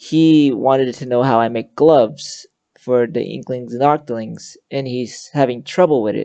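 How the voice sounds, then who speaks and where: The voice is quiet and moves at a moderate pace. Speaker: VR avatar tutorial creator. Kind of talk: tutorial. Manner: halting.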